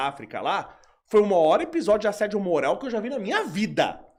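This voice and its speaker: At a fairly quick pace, a man talks in a high pitch with very wide pitch swings. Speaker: professor. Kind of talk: casual chat. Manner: fast.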